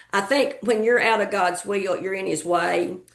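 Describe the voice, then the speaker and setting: A woman speaks with vocal fry. Her intonation stays fairly even. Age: 70s. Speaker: retired educator. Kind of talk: interview. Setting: video podcast. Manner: halting, many fillers.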